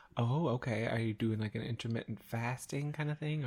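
A somewhat breathy man at medium pitch, fairly quick in pace, with ordinary pitch variation. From Canada. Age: 20s. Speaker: podcast co-host. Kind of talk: casual chat.

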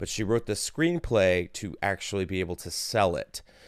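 A man with a normal speaking voice talks at a fairly slow pace with lively intonation. The recording is very clean, with a silent background. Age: young. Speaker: comedian. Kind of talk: casual chat.

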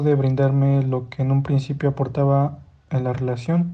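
In a central Mexican accent, a man speaks with a fairly high pitch and a dark, mellow, somewhat breathy tone. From Mexico, Hidalgo. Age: 20s. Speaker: listener sending voice message. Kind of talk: recorded voice message. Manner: formal.

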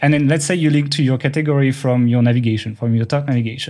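At a fairly quick pace, a man with a French accent speaks in a very clean recording with a silent background. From France. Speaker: online marketing podcast co-host. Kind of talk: casual chat. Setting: studio. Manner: fast talker.

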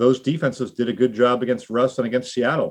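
With a plain, everyday voice, this man keeps his pitch medium. He talks at a moderate pace. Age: 50s. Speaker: football journalist. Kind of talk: casual chat.

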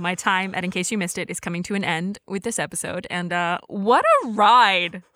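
Medium pitch from a woman, with ordinary pitch variation. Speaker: podcast host. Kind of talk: casual chat. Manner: fast.

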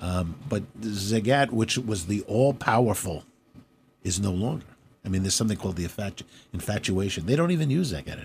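Somewhat breathy and fairly low-pitched, a man's voice moves at a fairly quick pace with lively intonation. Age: 60s. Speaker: restaurateur. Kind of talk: interview. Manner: halting.

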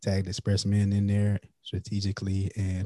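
Dry and close with no echo, the recording captures a man with an American accent speaking at a moderate pace. His voice is fairly low, dark and mellow, somewhat breathy, with monotone, flat intonation. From US South, South Carolina (Florence). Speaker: podcaster and entrepreneur. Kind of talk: casual chat.

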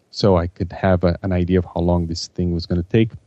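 Over a quiet background, a man with a non-native accent talks at a fairly quick pace in a very deep, low pitch with a dark, mellow tone and a dry, close sound with no echo. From Brazil. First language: Portuguese. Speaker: project management consultant and author. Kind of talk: interview. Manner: halting, frequent repetitions and fillers.

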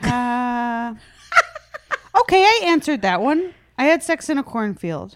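Fairly slow and marked by long, frequent pauses, a woman with an American accent speaks at a high pitch with very wide pitch swings. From US Midwest. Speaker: stand-up comedian. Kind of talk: casual interview chat.

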